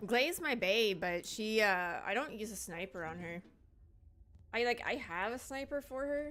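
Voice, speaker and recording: A woman's mumbling at a moderate pace, with lively intonation. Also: fairly high pitch for a woman. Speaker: gaming streamer. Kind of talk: live stream gameplay chat.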